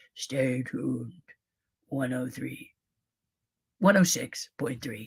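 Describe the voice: Putting on a raspy character voice, a man speaks at a medium pitch and a very slow pace.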